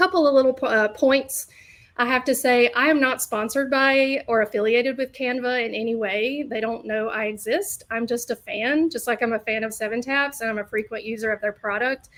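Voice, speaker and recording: A woman's high-pitched voice at a fairly quick pace, with ordinary pitch variation and hardly any pauses. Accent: Southern US. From US South, Alabama. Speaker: learning designer. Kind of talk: webinar presentation. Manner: hesitant, many fillers.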